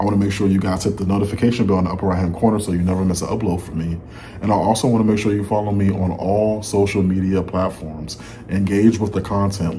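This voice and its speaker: Noticeable background noise and audible room echo surround a man at a fairly low pitch. He talks at a fairly quick pace with monotone, flat intonation. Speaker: music reaction YouTuber. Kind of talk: casual vlog commentary. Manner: slightly slurred, dragging words.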